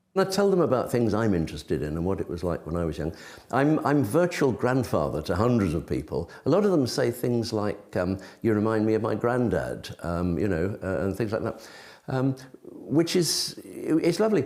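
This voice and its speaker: In an English accent, a man with a medium pitch and vocal fry talks at a moderate pace, his pitch swinging very widely. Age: 70s. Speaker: retired primary school teacher. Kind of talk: interview answer.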